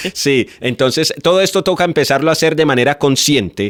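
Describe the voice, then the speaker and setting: A man with lively intonation in a dry, close sound with no echo. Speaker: radio host. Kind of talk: casual chat. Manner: sounds like scolding, loud.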